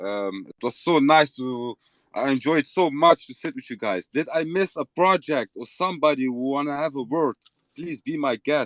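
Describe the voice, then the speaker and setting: A man with an Arabic accent, fairly high pitch and big swings in loudness, in a dry, close sound with no echo. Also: ordinary pitch variation, moderate pace. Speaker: crypto project co-founder. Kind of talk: casual chat.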